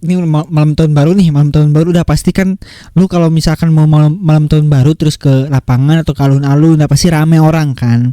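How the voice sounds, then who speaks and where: A man speaks at a very fast pace, shrill yet with a dark, mellow tone, in a dry, close sound with no echo. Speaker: podcast host. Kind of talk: casual commentary on viral content. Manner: animated.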